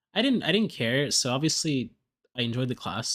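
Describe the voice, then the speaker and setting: A man with an American accent is heard on a very clean recording with a silent background. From Texas. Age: 20s. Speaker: video game streamer. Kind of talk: casual live-stream chat.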